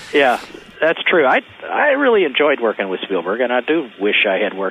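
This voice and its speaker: Against noticeable background noise, a man with a medium-pitched voice talks fairly quickly, his pitch swinging very widely. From Kentucky. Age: 60s. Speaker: film sound editor. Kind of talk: interview.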